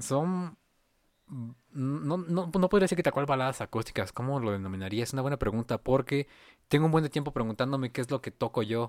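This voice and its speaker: A man with a Mexican accent at a fairly quick pace, lively intonation, on a very clean, dry, close recording with no echo and a silent background. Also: medium pitch for a man. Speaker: musician. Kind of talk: casual chat.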